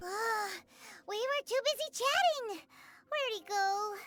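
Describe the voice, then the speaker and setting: This put-on character voice is squeaky and extremely high. It moves at a fairly slow pace. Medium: video game. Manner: chatty, bright.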